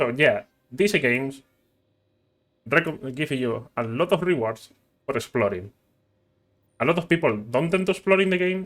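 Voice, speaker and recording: This man has a non-native accent. He speaks at a moderate pace. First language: not English. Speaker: gaming youtuber. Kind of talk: gameplay tutorial. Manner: halting.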